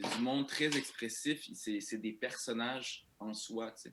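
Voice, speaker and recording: This man's voice has a bright, sharp tone. He is the one speaking. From Quebec, Saint-Eustache, Algerian immigrant family. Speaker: comedian. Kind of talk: podcast interview. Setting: remote podcast recording. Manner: halting, many repetitions and fillers. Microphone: poor audio quality.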